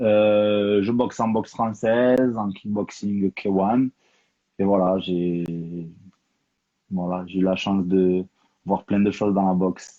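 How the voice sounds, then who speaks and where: A man speaks at a very slow pace with fairly low pitch. His delivery is monotone and flat, with long, frequent pauses. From Toulouse, southern France. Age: 30s. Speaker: professional boxer and coach. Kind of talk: interview.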